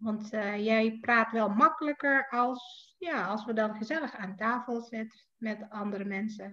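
Fairly slow speech in an Indonesian accent, with ordinary pitch variation. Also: woman, fairly high pitch for a woman. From Indonesia, Jakarta. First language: Indonesian (speaking Dutch). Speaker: writer. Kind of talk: casual chat.

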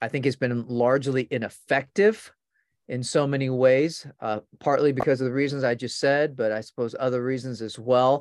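A man with a plain, everyday voice speaks at medium pitch and a moderate pace with ordinary pitch variation. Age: 50s. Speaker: pastor. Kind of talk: casual interview conversation.

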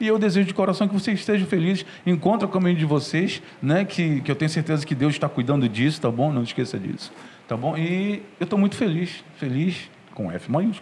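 A man with a plain, everyday voice, lively intonation, and a moderate pace. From Pará, northern Brazil. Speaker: saxophonist and firefighter. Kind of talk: interview.

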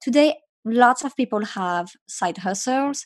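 A woman with lively intonation against a quiet background. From France, Paris. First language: French. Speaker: startup founder. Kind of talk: interview. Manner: halting.

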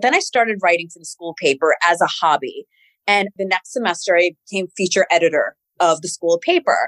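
A woman with an American accent uses a normal speaking voice at medium pitch and a fairly quick pace, with a dry, close sound with no echo. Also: ordinary pitch variation. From New York City (Queens), US. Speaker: TV news anchor. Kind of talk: interview.

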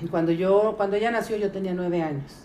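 Against noticeable background noise and audible room echo, a woman talks at a moderate pace with fairly even intonation. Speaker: teacher. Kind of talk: life story interview. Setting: at her sister's house. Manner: halting.

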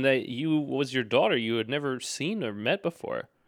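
This is a man speaking. His pace is moderate. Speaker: interviewer, nephew. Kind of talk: casual interview.

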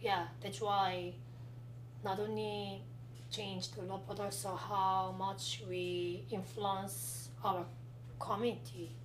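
There is noticeable background noise. Over it, a woman speaks at a very slow pace. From South Korea. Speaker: guest, artist and student. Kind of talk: casual interview chat.

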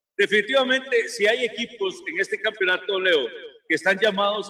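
A man speaks in a raised, projected voice. His pitch is high. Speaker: football pundit. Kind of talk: casual chat. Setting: remote broadcast from a sports bar restaurant.

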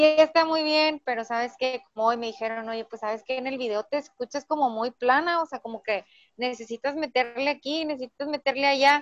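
A woman's high voice at a fairly quick clip, hardly pausing, with ordinary pitch variation and a dry, close sound free of echo. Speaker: podcaster and entrepreneurship coach. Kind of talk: casual interview chat.

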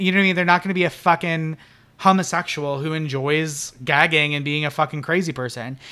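The voice has a bright, sharp tone and ordinary pitch variation, captured in a very clean recording with a silent background. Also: man. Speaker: podcast co-host. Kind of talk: casual chat. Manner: loud, projecting voice.

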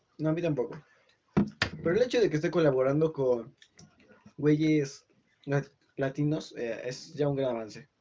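Pausing long and often, a man speaks in a Mexican accent at a fairly high pitch, with a moderate pace and ordinary pitch variation. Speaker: podcast host. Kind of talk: casual chat.

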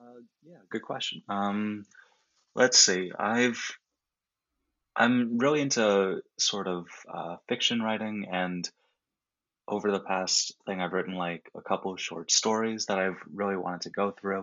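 Long, frequent pauses, fairly even intonation and a fairly slow pace. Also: man, fairly low pitch for a man, big swings in loudness. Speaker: college student. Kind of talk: casual interview.

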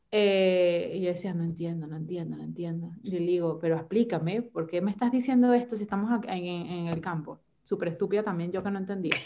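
A woman talks at a fairly quick pace with hardly any pauses, her pitch fairly low, in an ordinary speaking voice. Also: ordinary pitch variation. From Venezuela. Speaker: podcast guest. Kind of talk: casual chat.

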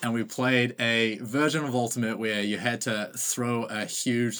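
This man's fairly low voice carries a New Zealand accent and fairly even intonation. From New Zealand, Auckland. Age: 20s. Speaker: ultimate frisbee player. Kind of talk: casual interview. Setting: video call.

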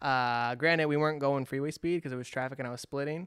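In a very clean recording with a silent background and a dry, close sound with no echo, a man with an American accent uses a normal speaking voice at fairly high pitch, fairly even intonation, and a fairly quick pace. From California. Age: 20s. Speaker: podcast host. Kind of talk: casual chat.

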